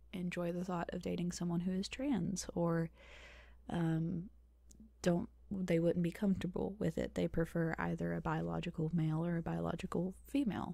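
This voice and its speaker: Soft-spoken and somewhat breathy, a woman talks at a moderate pace with a fairly low pitch and a dark, mellow tone. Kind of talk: ASMR Q&A, casual talk to camera. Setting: home recording, close microphone.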